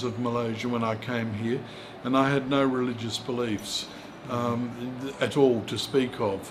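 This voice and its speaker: A man with an Australian accent at a moderate pace, fairly even intonation, audible room echo and noticeable background noise. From rural South Australia. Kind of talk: interview. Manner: halting.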